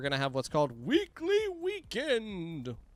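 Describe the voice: A man puts on a character voice, pitched high. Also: moderate pace.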